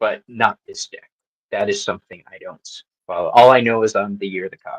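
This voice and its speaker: The sound is dry and close, with no echo. A man talks at a fairly quick pace, his loudness swinging widely. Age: 50s. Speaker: tarot reader. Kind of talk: tarot reading on live panel.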